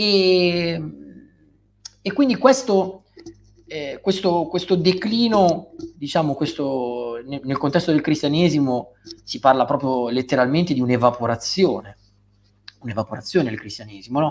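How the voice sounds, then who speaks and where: With light background noise behind him, a man talks at a fairly slow pace, leaving long, frequent pauses. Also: fairly high pitch for a man, lively intonation. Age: 30s. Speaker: writer and philosopher; guest. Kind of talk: interview. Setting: live stream. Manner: hesitant, with repeated words and fillers. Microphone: video call.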